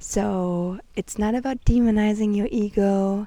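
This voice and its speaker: A woman speaks fairly slowly in a dark, mellow tone at a medium pitch, with a non-native accent and fairly even intonation. The recording is very clean, with a silent background. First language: not English. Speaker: spiritual vlogger. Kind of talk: casual spiritual talk to camera. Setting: outdoors on a bench, sandy place.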